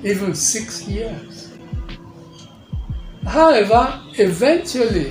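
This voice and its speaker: Over music in the background, a man with a high pitch talks at a very slow pace, with very wide pitch swings and long, frequent pauses. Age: 80s+. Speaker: retired engineer. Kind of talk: interview answer.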